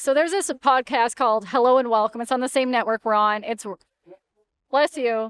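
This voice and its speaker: Speaking at a moderate pace, a woman has a high pitch with ordinary variation. The recording is very clean, with a silent background and a dry, close sound with no echo. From Canada. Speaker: sports reporter, podcast co-host. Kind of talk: casual chat. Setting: on location at media day. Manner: soft-spoken.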